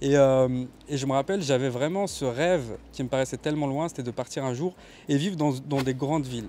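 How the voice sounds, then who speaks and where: A man's fairly high-pitched voice with a dark, mellow tone at a fairly quick pace. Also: ordinary pitch variation. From Kabylie, Algeria. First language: Kabyle (speaking French). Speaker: videographer. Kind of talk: interview testimony. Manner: hesitant, many fillers.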